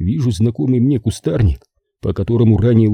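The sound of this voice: The speaker reads in an unforced voice, and the background stays quiet.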